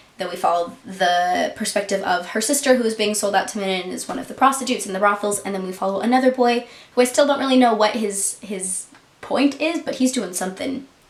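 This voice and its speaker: A woman races along at a very fast pace with a fairly high pitch, ordinary pitch variation and big swings in loudness, over noticeable background noise. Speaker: book vlogger. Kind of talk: casual chat.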